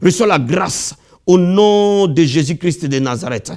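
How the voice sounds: At a fairly slow pace, the voice carries lively intonation and a slightly mellow tone. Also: man, fairly high pitch for a man.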